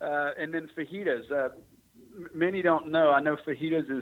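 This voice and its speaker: In a Texan accent, a man speaks at a moderate pace with fairly even intonation. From Texas, Houston. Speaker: restaurant business owner. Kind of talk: radio interview. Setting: radio studio.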